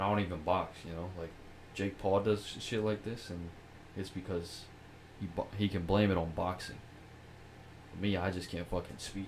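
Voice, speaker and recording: A man speaks in a very deep, low, somewhat breathy voice at a moderate pace. His intonation is flat and monotone, broken by long, frequent pauses. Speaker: podcast host. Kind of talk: casual chat.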